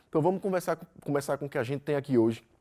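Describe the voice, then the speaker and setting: A man speaks with lively intonation. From Brazil. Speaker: physics teacher. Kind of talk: lecture. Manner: fast; loud.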